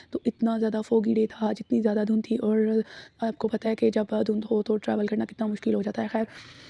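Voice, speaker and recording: A woman's fairly high, somewhat breathy voice with a dark, mellow tone and monotone, flat intonation, in a dry, close sound with no echo. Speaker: vlogger. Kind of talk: vlog voice-over narration. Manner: casual, with fillers.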